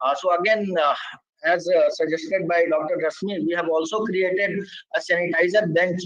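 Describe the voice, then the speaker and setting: Fairly quick speech from a man, high in pitch, its variation ordinary. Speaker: project presenter in science outreach webinar. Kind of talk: presentation. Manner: fast; hesitant with many fillers.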